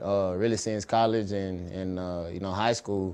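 A man with a Southern US accent talks at a moderate pace in a dark, mellow tone. His intonation is fairly even, and the background is quiet. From Alabama, Dothan. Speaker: pro football player. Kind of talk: interview.

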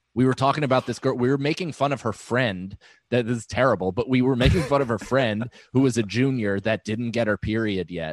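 At a fairly quick pace, a man talks with ordinary pitch variation in a dry, close sound with no echo. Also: medium pitch for a man. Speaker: comedian. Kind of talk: casual chat.

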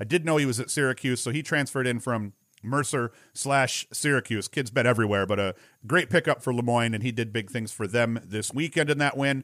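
The speech has ordinary pitch variation and a fairly quick pace. The recording is very clean, with a silent background. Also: man, medium pitch for a man. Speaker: sports podcast host. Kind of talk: solo sports recap podcast. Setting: video podcast recording. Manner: casual, rambling.

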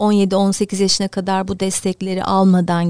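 The sound of this woman's voice is dry and close, with no echo. She speaks at medium pitch and a moderate pace. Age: 50s. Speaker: basketball club director, former player. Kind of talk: interview.

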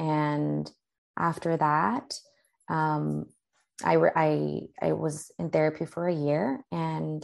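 A voice with a Spanish accent over a quiet background. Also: woman. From Tijuana, Mexico. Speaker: therapist. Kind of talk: interview.

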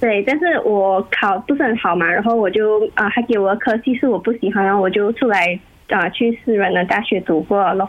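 At a moderate pace and medium pitch, a woman talks with ordinary pitch variation, very even loudness, and hardly any pauses. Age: 20s. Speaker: university student. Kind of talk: casual chat. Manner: halting.

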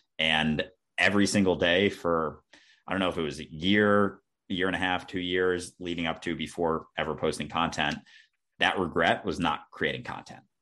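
Against a quiet background, a man speaks with an American accent and very deep, low pitch. His tone is bright and sharp, his intonation fairly even. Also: moderate pace. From US Midwest, Minnesota (outside Minneapolis). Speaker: content creator and podcast host. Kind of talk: casual interview chat.

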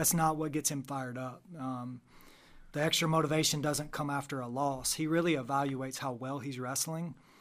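A man with an unremarkable speaking voice, fairly high pitch, fairly even intonation and a fairly quick pace. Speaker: wrestling coach. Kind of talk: casual chat. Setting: studio.

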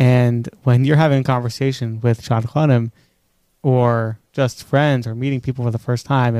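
A voice with a New York accent, fairly even intonation and a dark, mellow tone, recorded with a dry, close sound and no echo. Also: man. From New York, Queens and Five Towns. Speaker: podcast co-host. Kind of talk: casual chat.

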